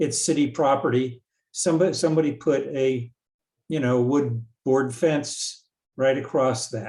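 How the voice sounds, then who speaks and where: Somewhat breathy and dark, mellow in tone, a man speaks at a fairly slow pace with fairly high pitch. His intonation stays fairly even over a quiet background. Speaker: local resident at community meeting. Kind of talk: casual remarks at public meeting.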